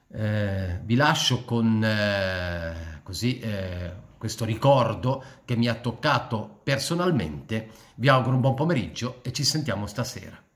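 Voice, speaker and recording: Somewhat breathy, a man speaks at medium pitch with lively intonation. His pace is fairly slow. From born in Switzerland, returned to Italy at 14. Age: 60s. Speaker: political commentator / YouTuber; political commentator, YouTuber. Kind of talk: personal monologue to camera. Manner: halting, many fillers and repetitions. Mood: reflective, somber tribute. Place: home room. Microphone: phone near.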